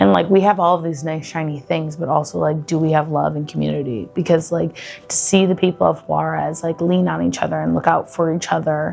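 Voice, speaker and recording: With music in the background, a woman in a Buffalo accent talks at a fairly quick pace with hardly any pauses. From Buffalo, New York. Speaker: travel vlogger. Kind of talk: casual vlog monologue. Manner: casual, filler-heavy (lots of 'like').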